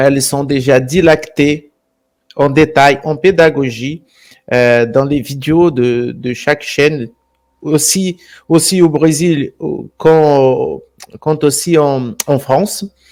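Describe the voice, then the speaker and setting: A man with a Brazilian accent at a very slow pace and fairly high pitch, with fairly even intonation and long, frequent pauses. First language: Portuguese (speaking French). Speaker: channel host, alternative history presenter. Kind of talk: live stream chat. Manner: repetitive, halting phrasing.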